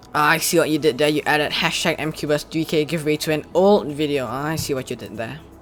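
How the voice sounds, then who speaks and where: Over noticeable background noise, the speech comes at a very fast pace with hardly any pauses. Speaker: speedcubing youtuber. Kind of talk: casual commentary reacting to giveaway entries.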